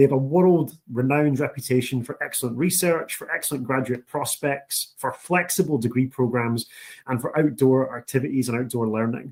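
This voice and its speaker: A man speaks at a fairly quick pace with a strong Scottish accent. His pitch is medium, with ordinary variation. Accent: thick Scottish. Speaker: university international recruitment officer. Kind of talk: presentation. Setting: online session. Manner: enthusiastic.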